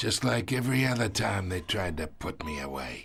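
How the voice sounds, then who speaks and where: A man does a raspy, put-on character voice, very deep and low, with very wide pitch swings. He talks at a moderate pace over music in the background. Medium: video game. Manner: gloating, chuckling.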